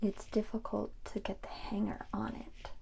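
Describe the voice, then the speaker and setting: A soft-spoken woman talks at a very slow pace. Her tone is soothing. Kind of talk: ASMR laundry folding talk. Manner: soft-spoken, soothing, slow.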